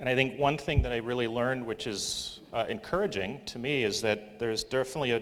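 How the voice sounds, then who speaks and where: The speech comes at a very fast pace with hardly any pauses and ordinary pitch variation. Noticeable background noise is present. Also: man, medium pitch for a man. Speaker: professor and session moderator. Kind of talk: conference presentation. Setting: conference session with audience. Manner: many fillers, um and uh.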